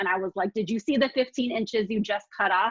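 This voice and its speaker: A woman speaks at a fairly quick pace with ordinary pitch variation. Hers is an unremarkable speaking voice, fairly high in pitch. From continental US, Hawaiian heritage. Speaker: librarian. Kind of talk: conference presentation.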